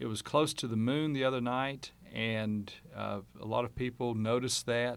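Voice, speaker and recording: In an ordinary speaking voice, a man talks at medium pitch and a moderate pace with fairly even intonation. The recording is very clean and the background silent. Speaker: amateur astronomer. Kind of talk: radio interview. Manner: casual.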